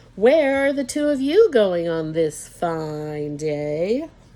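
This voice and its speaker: Here is a female-sounding, put-on character voice, fairly low in pitch. It moves at a very slow pace with very wide pitch swings. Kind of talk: bedtime story. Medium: read story.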